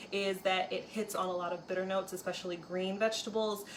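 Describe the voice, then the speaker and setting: Delivered at a fairly quick pace in a monotone, flat intonation, the speech comes over noticeable background noise. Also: woman. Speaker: cooking video host. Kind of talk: cooking tutorial. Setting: home kitchen. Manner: casual with fillers.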